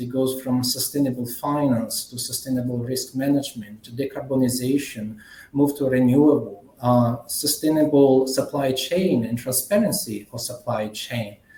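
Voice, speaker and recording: Somewhat breathy and dark, mellow in tone, a man at a medium pitch speaks with hardly any pauses, ordinary pitch variation and big swings in loudness, with audible room echo. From Italy. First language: Italian. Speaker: management consultant. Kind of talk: conference keynote presentation. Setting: conference plenary session.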